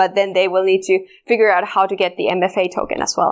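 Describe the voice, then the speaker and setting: A woman speaks with a Finnish accent. The recording is very clean, with a silent background. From Finland. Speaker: security researcher. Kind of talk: conference talk. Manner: halting.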